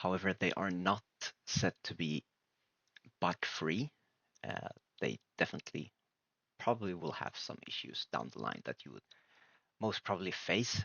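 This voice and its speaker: Very deep and low, a man's voice carries vocal fry and lively intonation at a moderate pace. He leaves long, frequent pauses, and his loudness swings widely. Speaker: game developer tutorial creator. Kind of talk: screen-recorded software tutorial. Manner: hesitant, many filler words.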